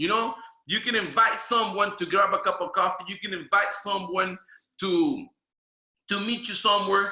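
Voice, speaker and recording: A man's raised, projected voice in a Spanish accent, at a moderate pace with ordinary pitch variation. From Venezuela. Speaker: network marketing trainer. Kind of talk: training presentation. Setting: video call. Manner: animated.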